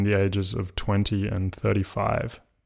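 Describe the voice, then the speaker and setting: A man with an Australian accent, his voice fairly low, his delivery fairly slow. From Australia, Melbourne. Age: 20s. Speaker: podcast host. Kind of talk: casual interview chat. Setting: remote recording. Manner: hesitant, many fillers.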